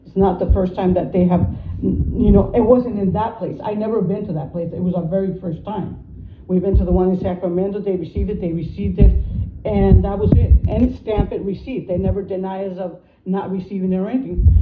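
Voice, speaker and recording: A woman speaks at a very fast pace. Audible room echo and noticeable background noise accompany her. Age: 50s. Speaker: citizen telling of a dispute. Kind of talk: personal testimony. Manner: halting, repetitive.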